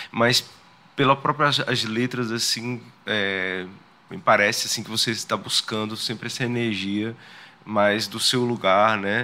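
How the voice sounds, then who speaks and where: With fairly even intonation, a man speaks at a fairly low pitch in an unremarkable speaking voice. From Sergipe, Brazil (Simão Dias). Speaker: podcast host. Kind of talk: interview conversation.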